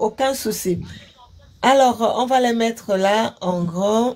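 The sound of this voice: At a slow pace, a woman speaks with a slightly mellow tone, fairly high pitch and ordinary pitch variation.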